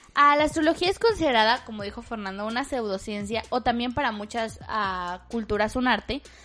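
A woman with a Mexican accent speaks at a fairly quick pace, barely pausing. Her fairly high voice has a bright, sharp tone and ordinary pitch variation. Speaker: podcast host. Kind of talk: casual chat.

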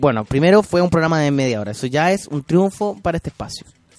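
A man's speech comes fairly quickly, its intonation lively. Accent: Chilean. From Chile. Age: young. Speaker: podcast host and comedian. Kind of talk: casual chat. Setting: studio. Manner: halting.

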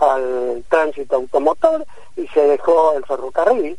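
A man is speaking. His intonation is lively. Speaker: physician and researcher. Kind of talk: radio interview.

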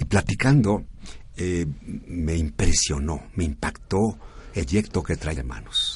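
Through noticeable background noise, a man with a very deep, low pitch speaks at a very slow pace, his pitch swinging very widely. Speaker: radio host of a service club program. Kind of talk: radio talk show.

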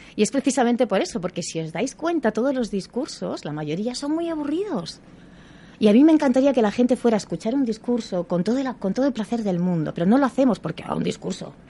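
Speaking very fast, a woman uses a fairly high pitch with very wide swings and a dark, mellow tone. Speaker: actress and communication coach. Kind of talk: radio interview.

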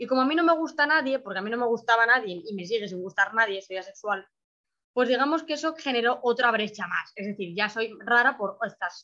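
Bright and sharp in tone, a woman talks at a fairly quick pace with lively intonation and big swings in loudness. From Spain. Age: 20s. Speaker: adoptee, 3D animation student. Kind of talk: interview, personal testimony.

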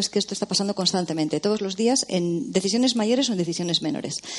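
Noticeable background noise is present. The speaker is a woman. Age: 40s. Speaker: novelist. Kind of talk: casual film discussion.

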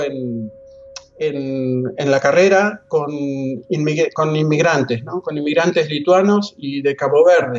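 Noticeable background noise sits behind a man with a fairly high pitch and ordinary pitch variation. He speaks at a very slow pace. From Argentina, La Plata. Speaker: anthropologist and professor. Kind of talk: interview. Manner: halting, many repetitions and fillers.

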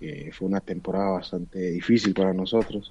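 The tone is dark and mellow. A man delivers it at a very deep, low pitch. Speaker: professional footballer. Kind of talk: interview.

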